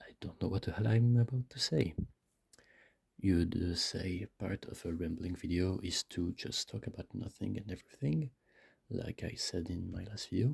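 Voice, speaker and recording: At a moderate pace, the somewhat breathy voice rises and falls a lot in loudness. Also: man, very deep, low pitch for a man. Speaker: vlogger. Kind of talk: casual monologue. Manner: halting. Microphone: too close to the mic.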